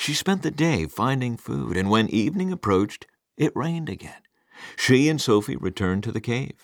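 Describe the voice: The plain reading aloud carries lively intonation, with a quiet background behind it.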